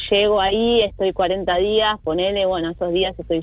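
This is a woman with a fairly low pitch at a moderate pace. She has an ordinary speaking voice. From Greater Buenos Aires, Argentina. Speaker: singer-songwriter. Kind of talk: interview. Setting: remote call.

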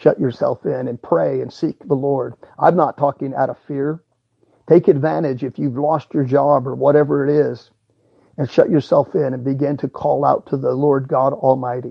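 This man has an ordinary speaking voice, pitched fairly high. He keeps a moderate pace and fairly even intonation. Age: 50s. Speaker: preacher. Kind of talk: sermon. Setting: at home.

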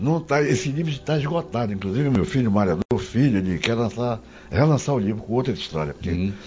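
A man's medium-pitched voice with very wide pitch swings, very even loudness and a fairly quick pace, music in the background. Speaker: journalist. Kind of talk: casual chat.

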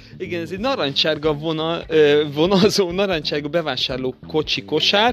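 A man's fairly high voice at a moderate pace, with noticeable background noise. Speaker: children's podcast host. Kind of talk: casual chat.

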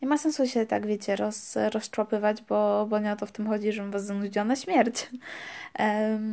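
The recording is very clean, its background silent. A woman's voice sits fairly high in pitch. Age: 20s. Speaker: podcast host, student. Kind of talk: casual monologue. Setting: home recording in her room. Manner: hesitant, with fillers.

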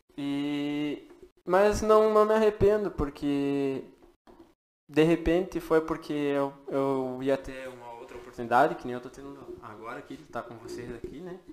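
Here is a man with a normal speaking voice, fairly high in pitch, at a moderate pace. His intonation is lively and his loudness swings a lot. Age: 20s. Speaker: podcast producer. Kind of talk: casual chat.

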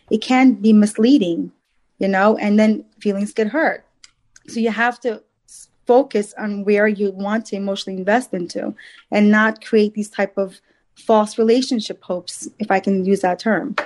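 The woman has a plain, everyday voice and a fairly high pitch. She keeps a moderate pace and fairly even intonation. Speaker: matchmaker and dating coach. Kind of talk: casual chat. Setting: video call.

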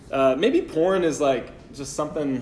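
Audible room echo is heard in the recording. A man talks with ordinary pitch variation. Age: 20s. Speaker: pastor. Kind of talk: sermon.

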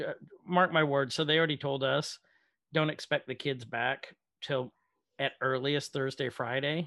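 A man speaking at a fairly slow pace. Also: very clean recording, silent background. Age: 30s. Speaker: podcast co-host discussing movies. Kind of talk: casual chat. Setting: video recording.

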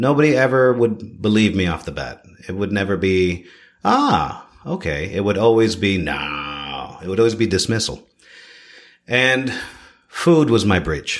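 A man with a Canadian accent and a fairly low pitch speaks at a fairly slow pace with very wide pitch swings. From Toronto, Canada. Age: 30s. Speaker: chef. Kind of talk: casual interview chat. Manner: animated.

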